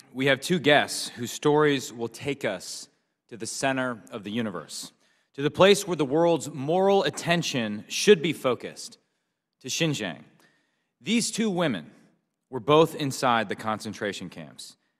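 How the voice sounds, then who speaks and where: Over a quiet background, a man speaks at a fairly slow pace with big swings in loudness. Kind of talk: formal opening statement. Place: hall. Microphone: podium.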